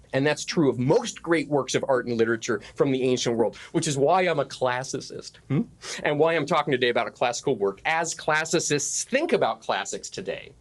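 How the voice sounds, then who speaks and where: With an American accent, the speaker talks at a fairly quick pace with hardly any pauses and ordinary pitch variation. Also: man, fairly high pitch for a man. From Arizona, US. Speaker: classics professor and pastor. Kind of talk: conference lecture. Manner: fast; hesitant, with fillers and repetitions.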